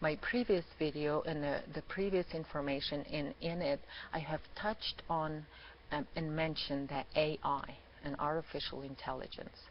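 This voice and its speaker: Speaking with a non-native accent, a woman with a very deep, low pitch keeps a moderate pace and fairly even intonation. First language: not English. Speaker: spiritual channel presenter. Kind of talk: monologue video talk. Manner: halting, many fillers.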